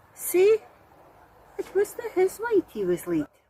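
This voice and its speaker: A woman speaks with a Scottish accent. The sound is dry and close, with no echo. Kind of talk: poetry reading.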